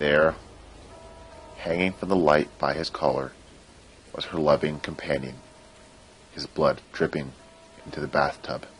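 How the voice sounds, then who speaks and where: Very deep and low, a man's voice moves at a fairly slow pace with fairly even intonation. Long, frequent pauses fill his speech, and music plays in the background. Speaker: creepypasta narrator. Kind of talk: horror story narration.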